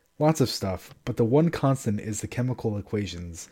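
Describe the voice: Reading aloud, plain and simple.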